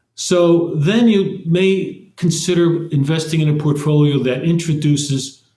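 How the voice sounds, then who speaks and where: Somewhat breathy male speech in a dark, mellow tone. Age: 80s+. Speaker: investment executive. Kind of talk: interview. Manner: halting.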